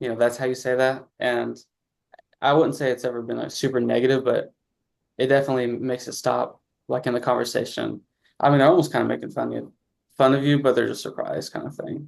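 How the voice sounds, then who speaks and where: A man with a slight Southern US accent talks at a very fast pace. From Southeast Missouri, Campbell. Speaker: pre-med student. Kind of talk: interview.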